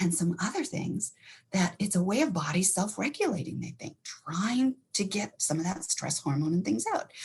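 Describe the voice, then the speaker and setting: A woman with an American accent, animated in tone and somewhat breathy, at a moderate pace. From Montana. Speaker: counselor. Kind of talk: educational talk.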